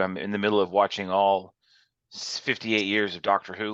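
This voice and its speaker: Loud and fairly quick, a man's fairly low voice comes across with a bright, sharp tone over a quiet background. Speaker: college instructor. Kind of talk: lecture. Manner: loud and animated; fast.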